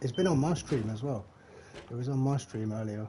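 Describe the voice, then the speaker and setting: Delivered at a very fast pace with a Leicestershire accent, the voice shows ordinary pitch variation over noticeable background noise. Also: man. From English Midlands, Leicestershire. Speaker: gaming streamer. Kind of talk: live gameplay stream chat. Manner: casual, chatty.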